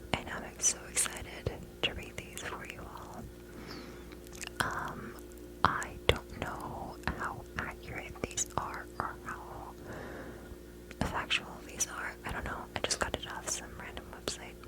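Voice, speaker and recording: Very slow whispering from a woman, big swings in loudness, long, frequent pauses, and noticeable background noise. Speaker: ASMR creator. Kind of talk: ASMR fact reading. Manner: whispered.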